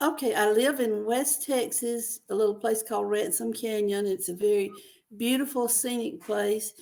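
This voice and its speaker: In a Mississippi accent, a woman speaks at a fairly high pitch with ordinary pitch variation. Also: moderate pace. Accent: Southern US (Mississippi). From US South, rural Mississippi. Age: 80s+. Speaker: novelist. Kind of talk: interview.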